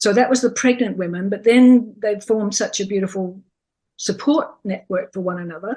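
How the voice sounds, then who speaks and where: A woman with a dark, mellow tone and a fairly high pitch sounds somewhat breathy, speaking at a moderate pace with ordinary pitch variation. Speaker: childbirth educator. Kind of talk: interview answer.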